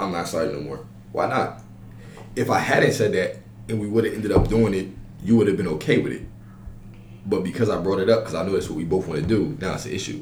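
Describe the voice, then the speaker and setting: A man with a fairly low pitch and ordinary pitch variation talks at a very fast pace, broken by long, frequent pauses. Noticeable background noise and audible room echo fill the recording. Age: 20s. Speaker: college podcast host. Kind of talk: casual chat.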